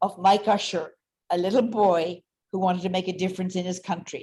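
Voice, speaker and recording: The woman's voice comes out somewhat breathy. She keeps to a moderate pace. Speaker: energy company executive. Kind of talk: interview. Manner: animated.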